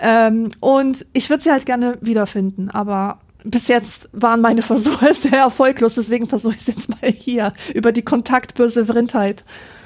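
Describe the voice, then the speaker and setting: A woman with a normal speaking voice, a fairly high pitch and fairly even intonation, at a moderate pace with hardly any pauses. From Rhineland, Germany. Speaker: podcast co-host. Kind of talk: casual chat.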